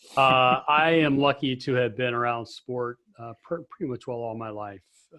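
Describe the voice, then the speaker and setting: In a normal speaking voice, a man talks at a moderate pace and medium pitch with fairly even intonation. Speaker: sports PA announcer and consultant. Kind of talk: interview.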